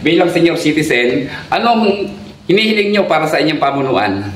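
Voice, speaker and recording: The speech moves at a moderate pace with very wide pitch swings. Noticeable background noise is present. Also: man. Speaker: local video blogger and interviewer. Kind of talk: interview questions and address to viewers.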